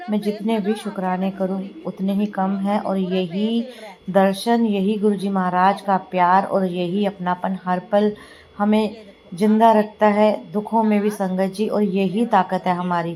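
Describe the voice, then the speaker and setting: The voice carries a tired tone and a dark, mellow tone, with a monotone, flat intonation. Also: woman, medium pitch for a woman. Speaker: devotional satsang vlogger. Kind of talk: devotional vlog narration. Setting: home, editing at night. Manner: tired, unsteady.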